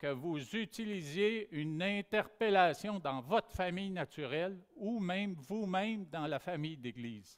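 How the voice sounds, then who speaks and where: Lively intonation runs through this fairly slow delivery, captured in a very clean recording with a silent background. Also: man. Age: 60s. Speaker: pastor. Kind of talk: sermon.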